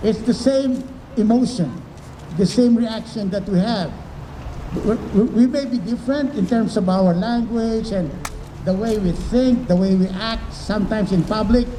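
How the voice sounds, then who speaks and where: Speaking with a Filipino accent, a man uses a high pitch with ordinary pitch variation at a moderate pace. Noticeable background noise runs underneath. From Philippines. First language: Tagalog. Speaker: professor. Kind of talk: talk to children and parents.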